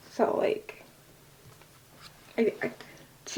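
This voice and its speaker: A woman speaks in a soft-spoken way. Noticeable background noise is present. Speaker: tarot/oracle deck reviewer, ASMR content creator. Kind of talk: ASMR soft-spoken card deck walkthrough to camera. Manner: soft-spoken, casual.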